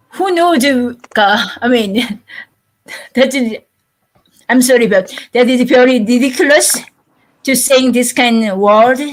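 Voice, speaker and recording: This woman talks at a very slow pace in a high-pitched voice. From South Korea. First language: Korean. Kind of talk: panel discussion. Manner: halting.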